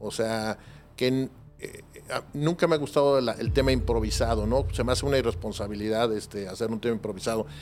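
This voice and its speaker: A man talks in a plain, everyday voice at a medium pitch. His intonation is lively and his pace fairly quick. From Mexico City. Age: 40s. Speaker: private security professional. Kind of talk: interview.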